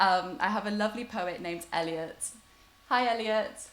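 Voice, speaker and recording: Heard here is a woman with a plain, everyday voice at medium pitch. She keeps a moderate pace with ordinary pitch variation. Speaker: online festival host. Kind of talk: casual chat.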